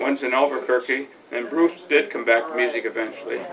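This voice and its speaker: A man with an American accent at a very fast pace, with noticeable background noise. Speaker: retired small-business owner and village council member. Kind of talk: oral history interview. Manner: halting, with repeated words.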